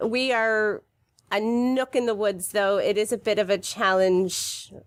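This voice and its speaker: A woman with an unremarkable speaking voice talks at a fairly high pitch with ordinary pitch variation on a very clean recording with a silent background. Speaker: community farm and art program organizer. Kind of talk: radio interview. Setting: radio studio.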